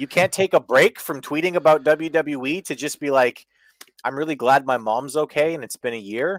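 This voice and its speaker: With a Canadian accent, a man speaks in an unremarkable speaking voice at a fairly high pitch and moderate pace, with ordinary pitch variation, on a very clean recording with a silent background and a dry, close sound with no echo. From Canada. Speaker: wrestling podcast co-host. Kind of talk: casual chat.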